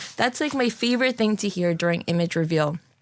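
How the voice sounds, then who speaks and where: With a New Jersey accent, a woman talks at a fairly quick pace in a fairly low pitch, her tone animated. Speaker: photographer. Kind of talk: casual interview chat.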